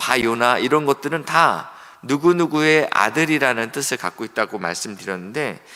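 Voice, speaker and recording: In a bright, sharp tone, a man talks at a fairly slow pace with ordinary pitch variation. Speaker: pastor. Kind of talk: sermon.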